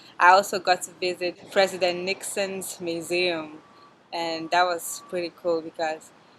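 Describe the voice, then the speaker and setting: Monotone, flat intonation runs beneath noticeable background noise. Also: woman, fairly low pitch for a woman. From Cameroon, Yaoundé. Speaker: university student. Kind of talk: testimonial interview.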